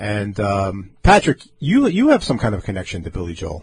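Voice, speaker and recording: A man speaks in a somewhat breathy voice. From Long Island, New York. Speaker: radio host. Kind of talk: casual chat. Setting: studio. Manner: animated.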